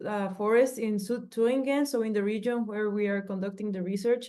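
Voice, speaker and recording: The speaker talks with a Spanish accent. The tone is dark and mellow. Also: woman. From Mexico. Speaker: PhD researcher. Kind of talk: research presentation.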